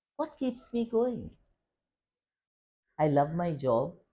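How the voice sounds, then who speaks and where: A woman's somewhat breathy voice has a dark, mellow tone and very wide pitch swings. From India, Goa. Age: 70s. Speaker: school principal. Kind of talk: interview. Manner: articulate.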